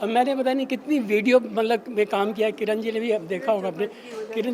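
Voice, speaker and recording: Noticeable background noise runs beneath a man talking at a moderate pace. His pitch is high, with ordinary variation. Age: 80s+. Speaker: retired senior club member. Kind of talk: interview.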